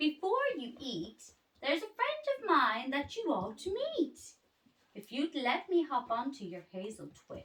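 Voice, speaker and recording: A woman uses a put-on character voice pitched high. She talks at a moderate pace. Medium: read story.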